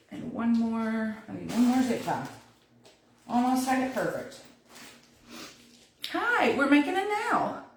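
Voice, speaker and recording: A high-pitched woman with an American accent, audible room echo around her. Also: long, frequent pauses. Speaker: wreath crafter, DIY tutor. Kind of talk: livestream craft tutorial. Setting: Facebook live stream. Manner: casual, chatty.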